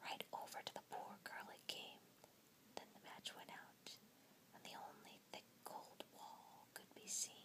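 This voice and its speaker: Whispering at a very slow pace. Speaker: ASMR storyteller. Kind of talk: whispered story reading, ASMR fairytale. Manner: whispered, soft.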